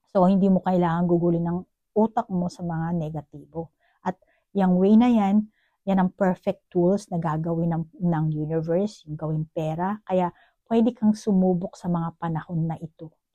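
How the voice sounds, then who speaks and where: In a dry, close sound with no echo, a woman with a dark, mellow tone and fairly low pitch speaks at a moderate pace with fairly even intonation. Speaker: tarot card reader. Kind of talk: psychic tarot reading. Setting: at home, neighbors nearby. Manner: conversational, direct address to viewer.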